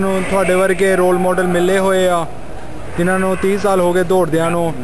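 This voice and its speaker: Over noticeable background noise, a man talks in a high pitch with monotone, flat intonation. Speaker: interviewer. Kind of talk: interview questions. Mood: respectful, admiring.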